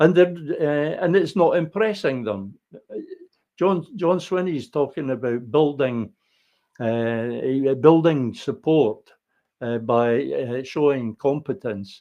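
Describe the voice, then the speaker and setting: At a very slow pace, a man with a Scottish accent speaks at fairly high pitch with lively intonation. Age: 70s. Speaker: political commentator. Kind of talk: solo political monologue. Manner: halting, frequent repetitions and fillers.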